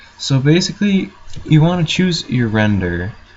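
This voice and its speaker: A man speaks at a moderate pace with very wide pitch swings. There is noticeable background noise. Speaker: graphic design tutorial maker. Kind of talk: screen-recorded tutorial commentary. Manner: hesitant, many filler words.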